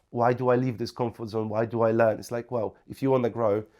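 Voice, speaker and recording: A Polish accent in a very clean recording with a silent background. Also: man. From Poland. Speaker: property investor. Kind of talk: podcast interview.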